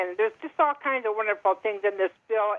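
A woman with an ordinary speaking voice, fairly high in pitch, with ordinary pitch variation. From Montana, US. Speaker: caller. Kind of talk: call-in discussion. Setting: phone call.

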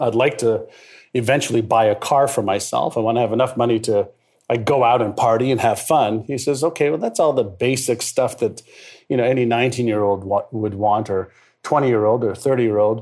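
Speaking with an Israeli accent, a man moves at a fairly quick pace in a medium pitch with fairly even intonation and very even loudness. The recording is very clean, with a silent background. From Montreal, Canada (moved from Israel at about six). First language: Hebrew. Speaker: mindset expert and author. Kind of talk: interview.

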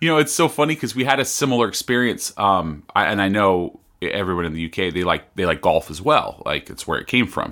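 A man with a Californian accent, a bright, sharp tone, fairly low pitch and very wide pitch swings, at a fairly quick pace with hardly any pauses. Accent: Californian American English. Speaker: podcast host. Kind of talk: casual chat. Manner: fast; halting, repeats words.

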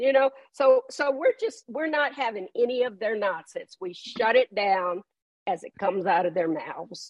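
A woman's high voice with very wide pitch swings, at a fairly slow pace, in a dry, close sound with no echo. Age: 70s. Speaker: author. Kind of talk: interview. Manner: blunt.

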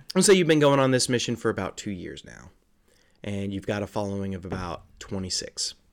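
A man's plain, everyday voice, fairly low in pitch, with lively intonation and big swings in loudness, on a very clean recording with a silent background. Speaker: game master running a tabletop RPG. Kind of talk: tabletop roleplaying game podcast, storytelling and banter.

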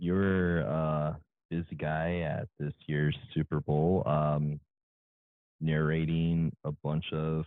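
A man's very deep, low voice, very slow and fairly even in intonation. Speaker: podcast host. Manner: calm, polite.

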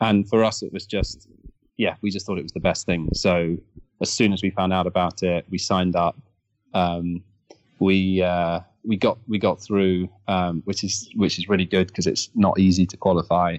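A man's very deep, low voice in a southern English accent, monotone and flat, at a moderate pace against a quiet background. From Kent, England. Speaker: energy company founder. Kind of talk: interview.

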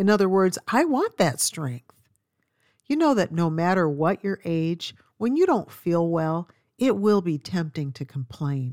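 An unremarkable speaking voice belongs to a woman with a fairly low pitch and lively intonation, talking at a fairly slow pace. The recording is very clean with a silent background, and the sound is dry and close with no echo. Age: 60s. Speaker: Bible teacher and author. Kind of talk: Bible study talk.

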